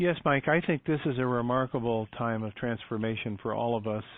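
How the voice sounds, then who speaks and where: Fairly even intonation marks this voice with an American accent. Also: man. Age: 60s. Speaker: doctor and author. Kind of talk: interview. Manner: halting, many fillers.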